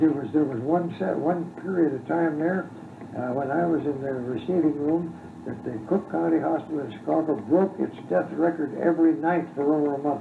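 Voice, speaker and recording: Noticeable background noise sits behind this man's fairly high voice. He talks at a moderate pace with ordinary pitch variation. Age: 80s+. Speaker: retired doctor. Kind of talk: interview answer. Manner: hesitant, halting.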